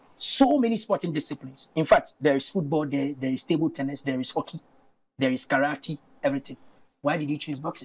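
A man speaks at a very fast pace in a somewhat breathy voice. His pitch varies in an ordinary way. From Ghana. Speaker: TV sports presenter; TV presenter. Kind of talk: studio interview. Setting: studio. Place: studio. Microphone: lapel.

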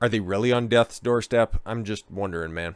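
A man's voice with ordinary pitch variation and a clear, smooth tone, on a very clean recording with a silent background

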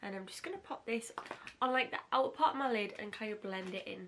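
A woman talks at a fast pace in a medium pitch, with ordinary pitch variation and a fairly bright tone.

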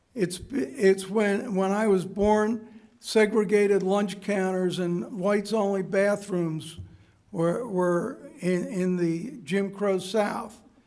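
The speaker talks with an American accent at a very slow pace. Noticeable background noise is present. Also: man, high pitch for a man, fairly even intonation. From USA. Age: 70s. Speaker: public commenter at school board meeting. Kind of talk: public comment speech. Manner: halting.

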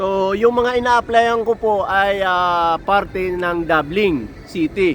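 A high-pitched man at a very slow pace. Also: ordinary pitch variation. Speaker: truck mechanic and vlogger. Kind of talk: casual vlog monologue. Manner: halting, many fillers.

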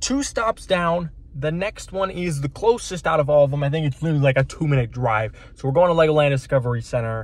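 Speaking at a fairly quick pace with few pauses, a man uses a fairly high pitch and ordinary pitch variation.

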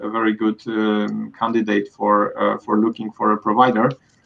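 A man talks at medium pitch. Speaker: IT outsourcing executive; panelist. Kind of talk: panel discussion. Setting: video call. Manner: halting. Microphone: video call.

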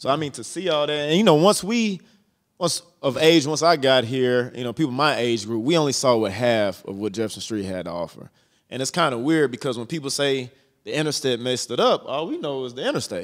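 Here a man speaks at a fairly quick pace with lively intonation. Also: quiet background. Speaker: podcast host. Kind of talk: casual interview. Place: studio. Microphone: handheld.

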